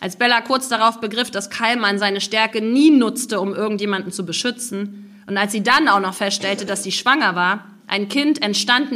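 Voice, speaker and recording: A woman talks at a moderate pace with a fairly high pitch. It is a normal speaking voice. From Mecklenburg Baltic coast, Rostock. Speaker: novelist and journalist. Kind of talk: author reading with interview. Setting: live reading event with audience.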